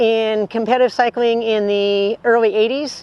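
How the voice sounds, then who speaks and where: In an ordinary speaking voice, a woman talks at a fairly slow pace with a fairly high pitch, the sound dry and close with no echo. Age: 60s. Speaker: ultra-distance cyclist and cycling coach. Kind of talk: interview monologue.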